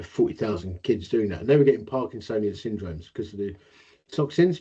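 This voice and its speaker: A man with an Essex accent talks at a very fast pace and a fairly low pitch, with lively intonation. His dark, mellow tone is somewhat breathy, and his loudness swings widely. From Essex, England. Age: 50s. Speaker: inventor with Parkinson's. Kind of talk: interview. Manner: slight slurring, voice may soften.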